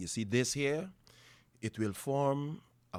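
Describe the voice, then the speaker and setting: Recorded very cleanly against a silent background, a man speaks. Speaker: father. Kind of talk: family conversation.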